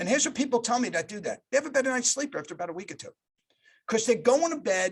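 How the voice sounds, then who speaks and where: The pitch of this man's voice swings very widely. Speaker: corporate culture executive and leadership speaker. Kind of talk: leadership talk. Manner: fast.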